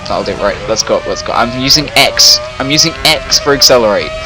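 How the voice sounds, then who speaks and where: A man with a British accent at a fairly slow pace, over noticeable background noise. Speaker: gaming streamer. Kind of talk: live gameplay commentary. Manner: loud; animated.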